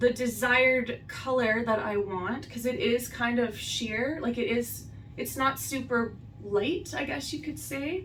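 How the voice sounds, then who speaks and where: A high-pitched woman at a fairly slow pace, with ordinary pitch variation and noticeable background noise. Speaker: beauty vlogger. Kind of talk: makeup tutorial. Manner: casual, filler-heavy. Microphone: far from the camera.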